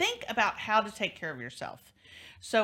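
A woman's unremarkable speaking voice, fairly high in pitch, with lively intonation, on a very clean recording with a silent background. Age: 50s. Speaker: talk show host, divorce lawyer. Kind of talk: interview talk show.

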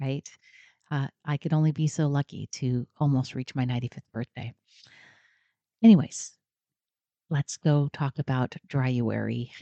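A woman with an American accent, dark and mellow in tone, moderate in pace with ordinary pitch variation, dry and close with no echo against a quiet background. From Oregon. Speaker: podcast host and drinking coach. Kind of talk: solo podcast talk.

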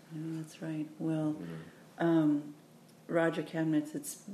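In an American accent, a woman with a fairly low voice speaks at a moderate pace in an unremarkable speaking voice. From Oakland, California, US. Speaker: podcast host. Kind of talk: interview. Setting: in person in New Orleans.

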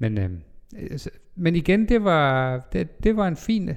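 A man speaks at a very slow pace. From Denmark, North Jutland (Vendsyssel). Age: 40s. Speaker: pastor. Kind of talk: life-story interview. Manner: hesitant, many fillers.

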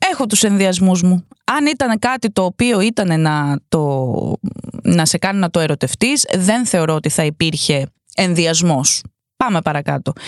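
A woman with a fairly low voice sounds animated, her pitch swinging very widely while her loudness stays very even, in a dry, close recording with no echo. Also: fairly slow pace. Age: 30s. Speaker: podcast host, advice giver. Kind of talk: casual chat, reading out listener stories with commentary.

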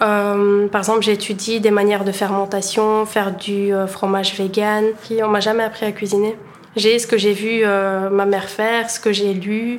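A woman speaks at a fairly slow pace and a medium pitch. Her intonation is monotone and flat. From Bulgaria, moved to Belgium at 13. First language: Bulgarian (speaking French). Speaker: aspiring chef and entrepreneur. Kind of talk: interview testimony.

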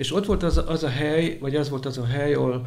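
A man at medium pitch talks at a fairly quick pace with fairly even intonation, sounding somewhat breathy against audible room echo. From Hungary, Vas county. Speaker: prison chaplain. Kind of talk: interview testimony.

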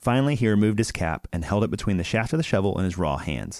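A man's normal speaking voice, fairly low-pitched, at a fairly quick pace with lively intonation and a dry, close sound with no echo. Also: very clean recording, silent background. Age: 30s. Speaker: podcast host. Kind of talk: casual chat.

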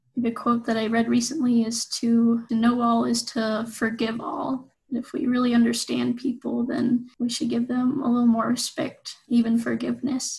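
Speaking with a western US accent, a woman talks at a high pitch and moderate pace with monotone, flat intonation and hardly any pauses. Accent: western American. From Utah. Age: 20s. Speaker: university student. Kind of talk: interview.

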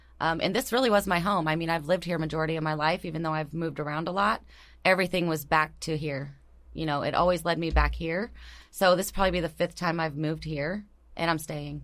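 Speaking very fast, a woman with an American accent has a fairly low pitch, vocal fry and fairly even intonation. The recording is very clean, with a silent background. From US Pacific Northwest, Tacoma. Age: 40s. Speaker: mortgage lender. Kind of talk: casual chat. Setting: studio.

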